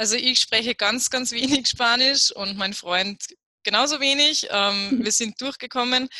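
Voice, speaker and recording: A woman's high voice at a fairly slow pace with ordinary pitch variation, dry and close with no echo. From Upper Austria. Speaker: travel blogger. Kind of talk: interview about travel tips.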